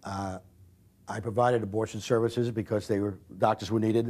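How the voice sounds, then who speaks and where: A man's fairly low voice with a dark, mellow tone, very fast pace and fairly even intonation. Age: 60s. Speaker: abortion doctor. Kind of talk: interview. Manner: halting.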